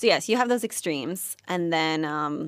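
In a very clean recording with a silent background, a woman with an American accent and a plain, everyday voice talks at a fairly quick pace, her fairly low pitch carried by lively intonation. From New York, US. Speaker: journalism student. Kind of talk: casual interview.

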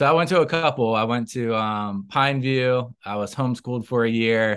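An unremarkable speaking voice with an American accent and ordinary pitch variation. The background is quiet. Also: man. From Tallahassee, Florida. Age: 30s. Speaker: city commissioner, politician. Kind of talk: interview.

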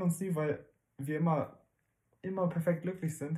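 A man's voice, high in pitch. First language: not German (speaking German). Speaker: parenting podcast co-host. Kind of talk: casual chat.

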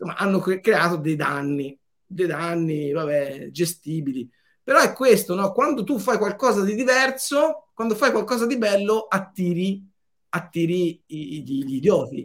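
At a fairly slow pace, a man with a high pitch makes very wide pitch swings. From Tuscany, Florence area. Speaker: telecom entrepreneur. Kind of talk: interview.

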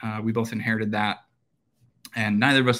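In a very clean recording with a silent background, a man with an Upper Midwest accent speaks at medium pitch. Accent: Upper Midwest American. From central Minnesota (rural). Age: 30s. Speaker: real estate developer. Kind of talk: interview.

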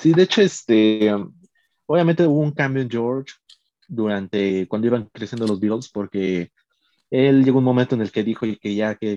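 At a fairly quick pace, a man with a dark, mellow tone and fairly low pitch talks with ordinary pitch variation, in a dry, close sound with no echo. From Mexico, Puebla. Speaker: Beatles fan, podcast guest. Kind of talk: casual chat.

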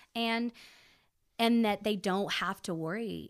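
A woman speaks with an American accent in an unremarkable speaking voice. Her pace is moderate and her pitch varies in an ordinary way. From central Texas (Belton). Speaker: church worship singer. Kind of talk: casual interview.

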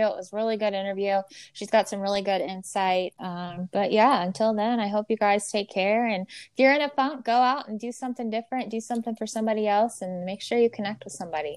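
An ordinary speaking voice goes at a fairly quick pace, with ordinary pitch variation over a quiet background. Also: woman. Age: 30s. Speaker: podcast host. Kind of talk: casual chat.

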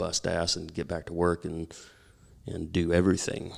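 With an American accent, a man speaks at a very deep, low pitch. His intonation stays monotone and flat. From rural Oklahoma. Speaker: musician. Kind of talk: casual interview.

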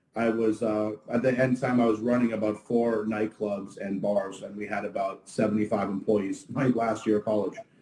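Over noticeable background noise, a man with a fairly low pitch speaks at a moderate pace in a monotone, flat way, with hardly any pauses. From Ottawa, Canada. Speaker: restaurant owner. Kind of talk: casual interview. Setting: livestream.

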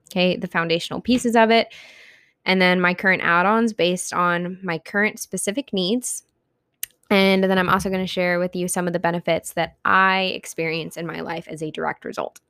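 Recorded dry and close with no echo, a woman at a medium pitch speaks fairly quickly in a bright, sharp tone. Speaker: solo podcast host. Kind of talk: solo podcast monologue. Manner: fast; animated.

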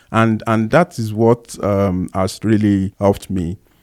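A man with a Nigerian accent speaks at a very slow pace in a dark, mellow tone. His pitch varies in an ordinary way, and the sound is dry and close with no echo. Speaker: podcast co-host. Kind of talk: casual chat.

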